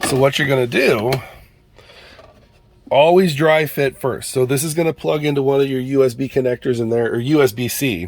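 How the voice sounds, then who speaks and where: Over noticeable background noise, a man with a medium-pitched voice speaks at a moderate pace, with ordinary pitch variation and long, frequent pauses. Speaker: product reviewer, YouTuber. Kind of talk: casual product review. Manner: quieter than usual.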